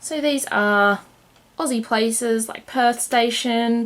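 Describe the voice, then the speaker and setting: A woman does the talking. She speaks with an Australian accent. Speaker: board game reviewer. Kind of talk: casual review.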